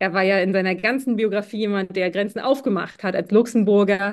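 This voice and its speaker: A woman speaks in a plain, everyday voice at a moderate pace with fairly even intonation. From Mecklenburg-Western Pomerania, Schwerin. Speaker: keynote speaker and leadership mentor. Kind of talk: interview.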